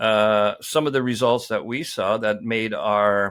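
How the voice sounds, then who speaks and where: In a very clean recording with a silent background, a man with a French accent speaks at a medium pitch in a bright, sharp tone with fairly even intonation. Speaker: mining company executive. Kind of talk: interview. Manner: halting, many fillers and repeats.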